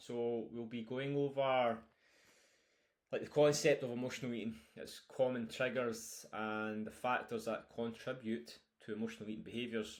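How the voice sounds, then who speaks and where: A man with a medium-pitched voice talks at a medium speed, his intonation fairly even. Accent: strong Scottish. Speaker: nutrition coach. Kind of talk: online course lecture. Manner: casual with fillers.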